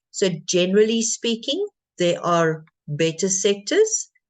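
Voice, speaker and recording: A normal speaking voice with lively intonation at a fairly slow pace. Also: woman. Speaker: feng shui consultant. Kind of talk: livestream presentation.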